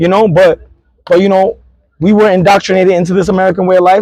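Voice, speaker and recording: In a dry, close sound with no echo, a man speaks at a very fast pace with a high pitch and an animated, passionate tone. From New York City, Queens (Queensbridge). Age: 30s. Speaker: Puerto Rican activist and nonprofit founder. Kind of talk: interview. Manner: occasional stutter.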